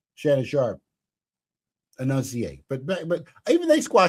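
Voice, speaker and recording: A man mumbling at a very fast pace. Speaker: podcast host and comedian. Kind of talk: casual chat.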